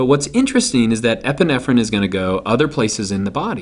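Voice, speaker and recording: A man with an unremarkable speaking voice talks at a fairly quick pace with lively intonation. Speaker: teacher. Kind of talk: lecture.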